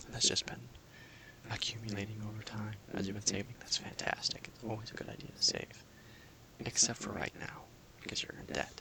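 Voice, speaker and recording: A man whispers at a fairly quick pace in a calm tone, with long, frequent pauses, big swings in loudness and noticeable background noise. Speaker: personal finance counselor (role-play). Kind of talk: ASMR role-play, soft-spoken counseling session. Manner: soft-spoken, calm, explanatory.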